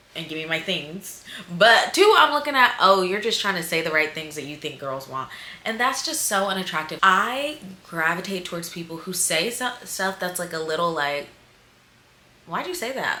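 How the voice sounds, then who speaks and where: A woman with an American accent and fairly low pitch speaks at a moderate pace with lively intonation and big swings in loudness, amid audible room echo and noticeable background noise. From US South. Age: 20s. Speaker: dating advice vlogger. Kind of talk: casual vlog. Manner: animated.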